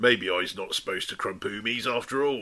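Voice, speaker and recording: A man puts on a gruff character voice at a medium pitch. He speaks at a fairly quick pace. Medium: read story. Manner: gruff, barking.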